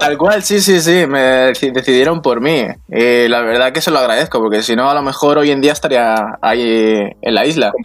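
A man speaks at a medium pitch with ordinary pitch variation, very even loudness and hardly any pauses. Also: moderate pace. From Mallorca, Spain. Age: 20s. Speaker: bicycle traveler. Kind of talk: casual chat. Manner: halting.

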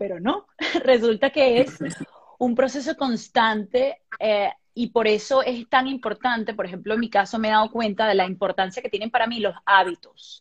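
Somewhat breathy and fairly high-pitched, a woman speaks at a moderate pace with ordinary pitch variation. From Venezuela. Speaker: actress and dancer. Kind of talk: casual interview on a live stream. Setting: video call live stream.

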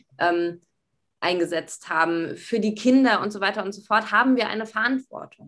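A woman talks in an unremarkable speaking voice at a medium pitch. Her pace is moderate, with ordinary pitch variation. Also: big swings in loudness. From Berlin, Germany. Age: 20s. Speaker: university student. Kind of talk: casual interview.

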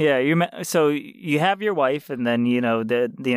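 A man with a fairly high pitch speaks at a moderate pace in a normal speaking voice, on a very clean recording with a silent background. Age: 30s. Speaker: video game podcast co-host. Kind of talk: casual comedic chat.

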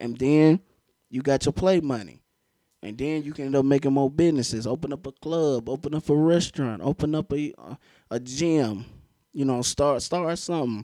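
Recorded very cleanly against a silent background, the dry, close voice has a dark, mellow tone, ordinary pitch variation and a moderate pace. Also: man, fairly high pitch for a man. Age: 20s. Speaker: podcast host and aspiring DJ. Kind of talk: casual chat.

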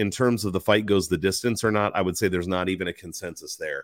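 An ordinary speaking voice in a very clean recording with a silent background. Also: man. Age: 40s. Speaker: MMA betting commentator. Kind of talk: solo livestream commentary. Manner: casual, many filler words.

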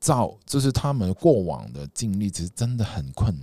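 A man speaks at a fairly slow pace with very wide pitch swings, in a very clean recording with a silent background. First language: Cantonese (speaking Chinese). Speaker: astrology podcast host. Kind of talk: casual chat.

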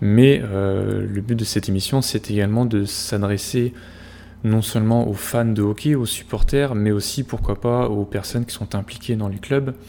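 Here a man has an ordinary speaking voice with a fairly low pitch. He talks at a fairly slow pace with fairly even intonation. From France, Normandy. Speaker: podcast host, hockey statistics analyst. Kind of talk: casual chat.

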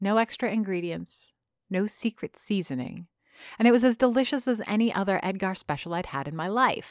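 Someone does plain reading aloud. Nothing but quiet fills the background.

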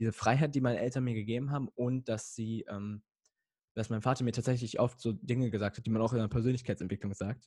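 A man talks very fast in a somewhat breathy, dark, mellow tone at medium pitch, with fairly even intonation. The very clean recording has a silent background and a dry, close sound with no echo. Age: young. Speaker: emotional coaching guest, podcaster. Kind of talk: casual interview chat.

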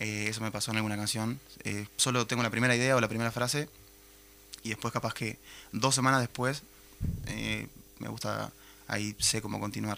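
A man with a medium pitch and a bright, sharp tone talks at a fairly quick pace in a monotone, flat intonation, broken by long, frequent pauses. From Uruguay, Minas (Lavalleja). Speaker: musician. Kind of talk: interview.

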